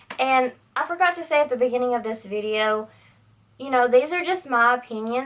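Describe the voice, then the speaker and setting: A woman's high voice in a Southern US accent, with ordinary pitch variation. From US South, Tennessee. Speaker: beauty YouTuber. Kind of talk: casual vlog monologue. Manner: animated.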